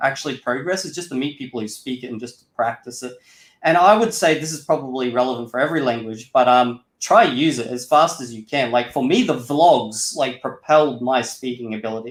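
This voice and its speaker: Using a normal speaking voice, a man talks at a fairly quick pace and medium pitch with ordinary pitch variation, big swings in loudness and hardly any pauses. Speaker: Esperanto YouTuber. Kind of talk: interview. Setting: live stream interview. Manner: casual, filler-heavy.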